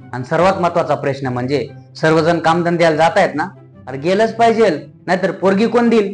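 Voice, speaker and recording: Background music can be heard. The speaker's intonation is lively. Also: man. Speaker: stand-up comedian; farmer's son. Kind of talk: stand-up comedy routine.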